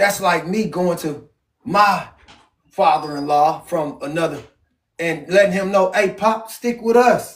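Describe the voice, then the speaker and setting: A man talks loudly at a fairly slow pace. His voice is high, with ordinary pitch variation. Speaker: Bible study leader. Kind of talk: family Bible reading and preaching. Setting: at home with family. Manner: loud, passionate.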